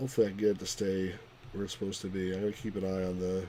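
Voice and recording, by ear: The voice reads aloud in a natural way.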